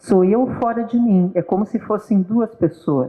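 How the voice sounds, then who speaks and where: Here a woman has an unremarkable speaking voice with lively intonation. She talks at a fairly slow pace. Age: 60s. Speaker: guest speaker on psychology talk. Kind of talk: casual talk show conversation. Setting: live stream.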